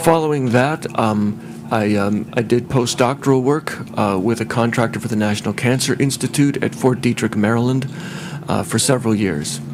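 A man with an American accent talks at a moderate pace, his medium pitch showing ordinary variation. Noticeable background noise sits behind him. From US Midwest. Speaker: chemist and scientist. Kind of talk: testimony. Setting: public hearing with microphone.

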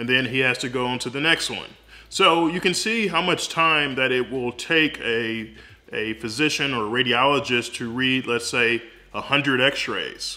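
A man's bright, sharp tone at a fairly slow pace, with ordinary pitch variation. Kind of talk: explainer vlog. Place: home room. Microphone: phone near.

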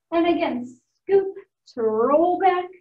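Audible room echo surrounds a woman talking at a fairly slow pace. Her pitch is extremely high. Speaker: fitness instructor. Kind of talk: instruction, exercise cueing. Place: gym. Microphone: camera far.

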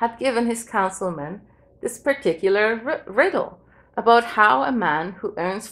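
Reading voice, unforced

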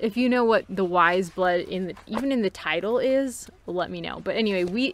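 The clip is reading aloud in a natural voice.

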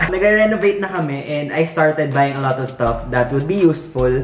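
Clear music plays behind a man who talks at a fairly quick pace with ordinary pitch variation and audible room echo. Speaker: vlogger. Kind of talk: casual vlog chat. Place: home room.

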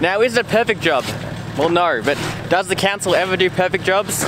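At a fairly quick pace, the talking carries on amid noticeable background noise. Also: man. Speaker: vlogger. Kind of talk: casual vlog chat. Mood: mock-serious, joking. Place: open country. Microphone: phone near.

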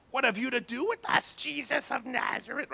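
A put-on character voice, fairly high in pitch, moves along at a fairly quick pace. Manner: evil.

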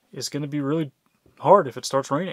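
Man's voice with fairly even intonation, the sound dry with no echo. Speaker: vlogger. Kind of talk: casual vlog chat. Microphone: phone near.

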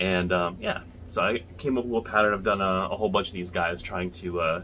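A man's very deep, low voice at a moderate pace, fairly even in intonation, over light background noise. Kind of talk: tutorial. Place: home room. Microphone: phone near.

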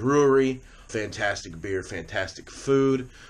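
With noticeable background noise present, a man keeps a moderate pace. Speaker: vlogger. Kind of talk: casual vlog chat. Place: home room. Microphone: phone near.

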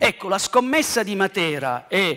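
A man's voice with very wide pitch swings. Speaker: archaeology professor. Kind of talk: lecture. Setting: stage with audience. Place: stage.

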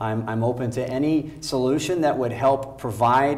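This is a man speaking. He talks with an American accent. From Nebraska. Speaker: political candidate; candidate. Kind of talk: candidate forum debate. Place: studio. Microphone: lapel.

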